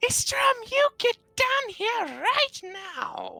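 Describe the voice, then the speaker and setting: A very slow pace marks this put-on character voice. Its pitch is extremely high. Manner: scolding, stern.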